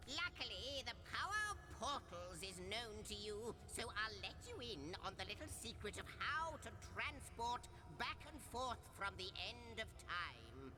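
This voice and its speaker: A man speaks at a fairly slow pace in a put-on character voice over loud background noise. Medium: video game. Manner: chatty, whimsical, verbose.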